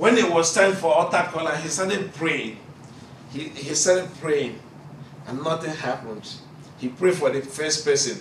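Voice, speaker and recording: A man with a Nigerian accent and a fairly high pitch talks at a moderate pace with ordinary pitch variation and long, frequent pauses, in a room with audible echo and light background noise. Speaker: preacher. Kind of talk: sermon. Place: classroom. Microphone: camera far.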